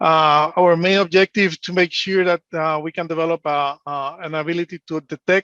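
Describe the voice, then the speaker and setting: A man with a Spanish accent, high-pitched, with a bright, sharp tone, monotone, flat intonation and a moderate pace, in a dry, close sound with no echo and a quiet background. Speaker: engineer and analyst. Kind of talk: conference presentation. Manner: hesitant, many fillers.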